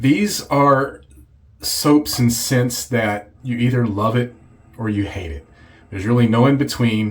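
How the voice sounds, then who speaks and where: A man's medium-pitched, somewhat breathy voice with ordinary pitch variation and a fairly slow pace. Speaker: shaving video creator. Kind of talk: casual video review. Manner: halting.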